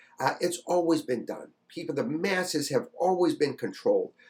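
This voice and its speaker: A man talks with vocal fry. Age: 60s. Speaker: YouTube commentator. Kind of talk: casual monologue on history and politics. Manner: halting, many fillers.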